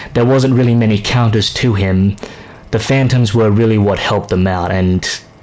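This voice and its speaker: Over noticeable background noise and audible room echo, a man talks at a moderate pace in a fairly low voice with fairly even intonation. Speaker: gaming youtuber. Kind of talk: casual commentary monologue. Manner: stuttering, halting; casual, filler-heavy.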